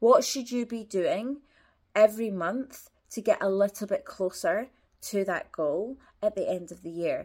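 A woman with a normal speaking voice talks at a fairly slow pace and fairly high pitch. Her pitch varies in an ordinary way, while her loudness swings widely. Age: 20s. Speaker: life coach podcast host. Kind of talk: motivational solo monologue.

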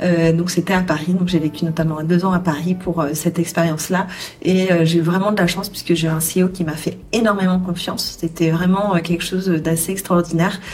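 A woman with a fairly low pitch speaks at a moderate pace in a flat monotone at very even loudness, with noticeable background noise behind her. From southwestern France (Charente, rural). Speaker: HR entrepreneur and coach. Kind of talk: interview. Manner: halting, many fillers.

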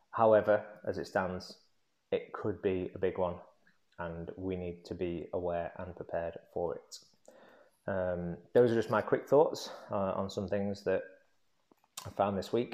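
A man with an English accent talks at a fairly slow pace, leaving long, frequent pauses, over a quiet background. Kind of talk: solo monologue vlog. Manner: hesitant, many ums.

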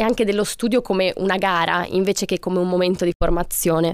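A woman with an ordinary speaking voice talks at a fairly quick pace and medium pitch with ordinary pitch variation, in a very clean recording with a silent background and a dry, close sound with no echo. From Italy. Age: 20s. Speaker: student, author and podcast co-host. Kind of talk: podcast conversation.

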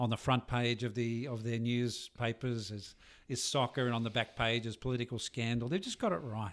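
A man talks with an Australian accent at a medium pitch. His pace is fairly quick and his intonation fairly even. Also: very clean recording, silent background. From Tamworth, New South Wales, Australia. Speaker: clinical psychologist. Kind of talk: casual interview.

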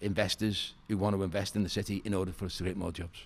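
A man with a Liverpool accent and a very deep, low pitch. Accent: Scouse. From Liverpool (Walton), northern England. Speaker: hotelier and property developer. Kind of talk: podcast interview.

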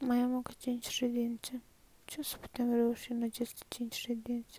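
A woman with a high pitch and a dark, mellow tone speaks fairly slowly in a flat, monotone way. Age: 20s. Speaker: person recording a personal voice diary. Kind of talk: personal confessional monologue. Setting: at home, lying in bed. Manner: soft-spoken, quiet so others at home won't hear.

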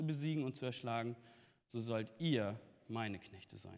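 Speaking at a moderate pace, a man has an ordinary speaking voice with lively intonation. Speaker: preacher. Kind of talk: sermon. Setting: church.

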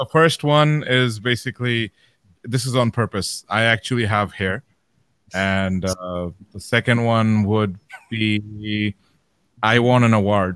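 A man with a Bengali accent at a fairly slow pace, fairly low in pitch with ordinary pitch variation and long, frequent pauses, in a dry, close sound with no echo. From Saudi Arabia. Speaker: beatboxer. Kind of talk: casual chat.

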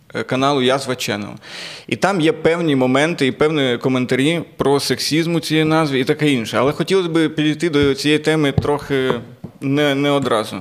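A man talks at a moderate pace with a fairly high pitch and fairly even intonation. Noticeable background noise can be heard. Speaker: comedian and podcast host. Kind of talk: casual chat.

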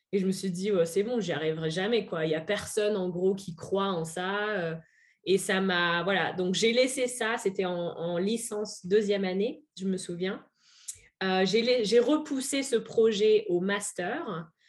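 Here a woman speaks in a plain, everyday voice at medium pitch. She goes at a fairly slow pace with ordinary pitch variation. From France, Auvergne. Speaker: French teacher and expatriate. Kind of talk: interview.

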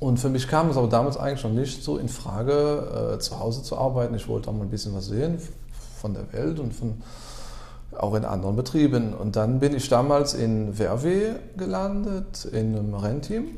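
Audible room echo surrounds a man speaking at a medium pitch. His pace is moderate and his intonation lively. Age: 30s. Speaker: car garage owner. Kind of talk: interview.

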